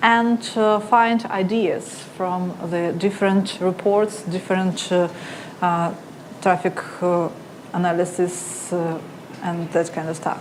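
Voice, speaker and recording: A woman talks at a very slow pace with ordinary pitch variation, amid noticeable background noise and audible room echo. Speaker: conference speaker, analytics marketer. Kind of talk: conference talk. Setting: stage with audience. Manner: halting.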